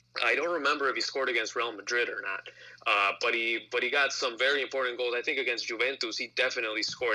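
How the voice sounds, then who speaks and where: A man speaks very fast with a Spanish accent. His intonation stays fairly even. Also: medium pitch for a man. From Mexican-American, US. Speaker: soccer fan guest. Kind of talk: casual sports chat.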